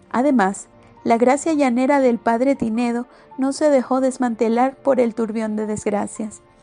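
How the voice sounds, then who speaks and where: Someone speaks at a fairly slow pace with a Venezuelan accent. The pitch varies in an ordinary way, and music plays in the background. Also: woman. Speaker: audiobook narrator. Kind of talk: audiobook novel reading.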